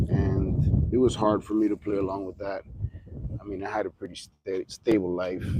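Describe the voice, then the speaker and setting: Speaking with a Spanish accent, a man uses a fairly low pitch, a fairly slow pace and fairly even intonation. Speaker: livestreamer. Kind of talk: casual livestream monologue. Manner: halting.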